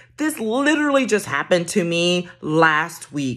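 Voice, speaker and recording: A woman speaks at a moderate pace with a quiet background. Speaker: career coach. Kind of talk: casual vlog tip. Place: home room. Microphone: phone near.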